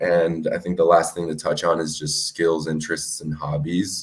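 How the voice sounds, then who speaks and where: Very deep and low in pitch, a man with an American accent speaks in a monotone, flat intonation. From US (raised), Colombian family. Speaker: podcast host. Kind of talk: casual self-introduction.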